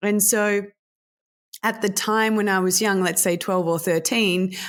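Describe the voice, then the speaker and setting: A woman with an Australian accent at a fairly slow pace, very clean recording with a silent background. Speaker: sex tech entrepreneur and speaker. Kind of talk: interview.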